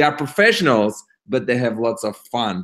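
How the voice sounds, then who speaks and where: With a non-native accent, a man speaks at a moderate pace. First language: not English. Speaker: network marketer. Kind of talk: webinar talk. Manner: halting.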